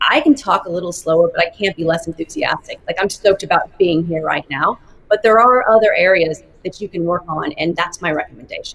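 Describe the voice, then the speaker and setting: Energetic in tone, a woman with an American accent speaks at a fairly quick pace with a fairly low pitch and ordinary pitch variation. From Arkansas, US South (Fayetteville). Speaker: marketing executive. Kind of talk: interview. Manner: fast.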